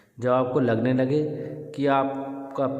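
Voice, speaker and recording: Amid audible room echo and noticeable background noise, a man with a medium pitch speaks at a very slow pace. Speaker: yoga teacher. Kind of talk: tutorial.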